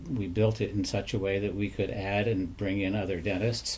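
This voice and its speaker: A man speaks at a moderate pace with a fairly low pitch and a somewhat breathy quality. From Maine. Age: 70s. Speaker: retired dentist. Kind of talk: interview.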